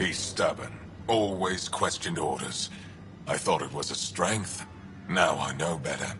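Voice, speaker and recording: A man performs a put-on character voice at a moderate pace. Clear background noise is present. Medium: machinima. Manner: terse, guarded.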